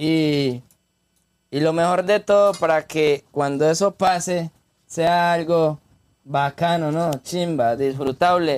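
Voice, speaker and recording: Very slowly and at a very even loudness, a man speaks with fairly even intonation. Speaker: urban music artist. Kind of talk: casual chat.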